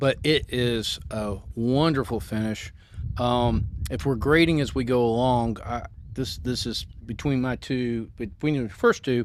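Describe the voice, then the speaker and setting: A man speaks at a fairly slow pace with a Southern accent. His pitch sits in the medium range, with ordinary variation. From US South, Memphis. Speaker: podcast co-host. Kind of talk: casual chat, whiskey tasting. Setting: outdoors on a porch.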